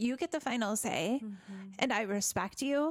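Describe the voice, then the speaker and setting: A woman's high voice moves with lively intonation. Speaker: podcast co-host and team leader. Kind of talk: casual chat.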